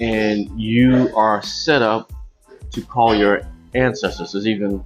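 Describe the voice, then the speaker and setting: Music plays in the background as a man talks at a fairly slow pace and a fairly low pitch. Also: ordinary pitch variation. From Arkansas. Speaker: humanities executive director and educator. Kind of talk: interview answer.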